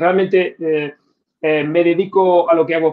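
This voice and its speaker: The man's pitch is fairly high and his intonation monotone and flat, at a moderate pace. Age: 50s. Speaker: nuclear reactor operator and science communicator. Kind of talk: interview answering audience questions. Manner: hesitant, many fillers and repeated words.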